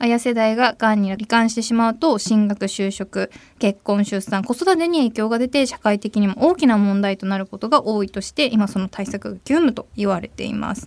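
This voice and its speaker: Pitched fairly high, a woman talks at a moderate pace with ordinary pitch variation and hardly any pauses, in a very clean recording with a silent background. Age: 20s. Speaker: radio host. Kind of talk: radio talk show. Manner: animated.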